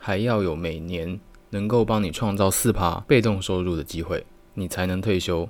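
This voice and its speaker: His voice sits fairly low. This man talks at a moderate pace. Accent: Taiwanese. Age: 20s. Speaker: multimedia designer and podcaster. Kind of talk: solo podcast monologue.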